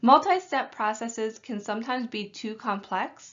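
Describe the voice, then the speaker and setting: Here is a plain, everyday voice. The tempo stays moderate. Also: woman. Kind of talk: training lecture.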